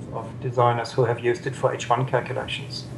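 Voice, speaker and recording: With a German accent, a man talks at a medium pitch and a moderate pace. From southern Germany. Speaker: software developer and energy researcher. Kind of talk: interview.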